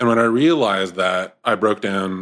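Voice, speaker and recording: A man with a Canadian accent and a plain, everyday voice, fairly low in pitch with ordinary pitch variation, on a very clean recording with a silent background. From Ontario, Canada. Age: 30s. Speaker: men's group co-founder. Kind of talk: casual interview chat.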